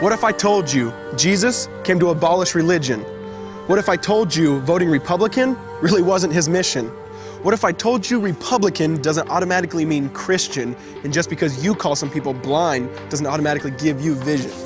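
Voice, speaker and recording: Against music in the background, a man speaks at a fairly quick pace with lively intonation. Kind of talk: spoken word poetry performance. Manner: rhythmic, rhyming delivery.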